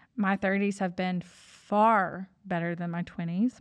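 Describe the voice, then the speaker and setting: Against a quiet background, a woman in an unremarkable speaking voice talks at medium pitch and a moderate pace with fairly even intonation. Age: 30s. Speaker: podcast host and business CEO. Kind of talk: casual monologue.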